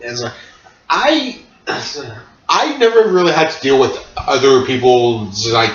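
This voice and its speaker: A man speaks at a fairly slow pace and fairly high pitch, with long, frequent pauses, very wide pitch swings, and big swings in loudness. Noticeable background noise and audible room echo fill the recording. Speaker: podcast host. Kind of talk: casual chat. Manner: halting.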